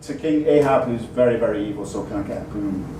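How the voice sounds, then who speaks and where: A man with an English accent at a moderate pace, amid noticeable background noise and audible room echo. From England. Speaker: stand-up comedian. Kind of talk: stand-up. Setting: stage with audience.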